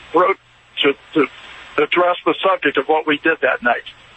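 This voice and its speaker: Noticeable background noise runs beneath the recording. A man talks at a moderate pace. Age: 60s. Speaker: caller, retired doctor and army veteran. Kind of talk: call-in testimony.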